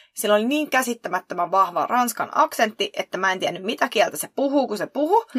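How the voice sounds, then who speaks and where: A woman uses a plain, everyday voice with lively intonation at a moderate pace. The very clean recording has a silent background and a dry, close sound with no echo. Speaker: podcast co-host. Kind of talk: casual chat.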